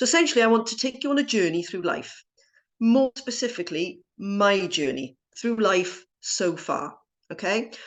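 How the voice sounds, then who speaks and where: A woman with a Welsh accent, lively intonation and a moderate pace. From South Wales. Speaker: entrepreneur and former genetic scientist. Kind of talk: personal story talk.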